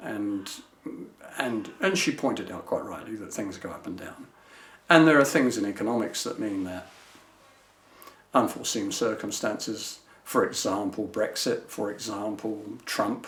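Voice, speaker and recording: Heard with audible room echo, the speech has long, frequent pauses, big swings in loudness and ordinary pitch variation. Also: man, fairly low pitch for a man, moderate pace. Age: 70s. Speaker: retired business manager, client. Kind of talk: testimonial interview. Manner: conversational, hesitant with fillers.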